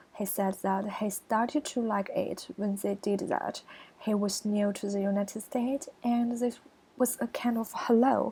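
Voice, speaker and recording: A woman with a Chinese accent speaks at a very slow pace. Her fairly high voice keeps a fairly even intonation. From China. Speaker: college student. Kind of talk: screencast presentation. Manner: halting.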